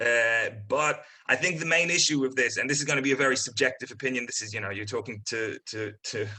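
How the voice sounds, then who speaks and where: A man with a bright, sharp tone and medium pitch talks at a very fast pace with hardly any pauses. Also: ordinary pitch variation. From Poland. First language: Polish. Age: 20s. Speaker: comedian. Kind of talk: casual chat. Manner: halting, many fillers and repeats.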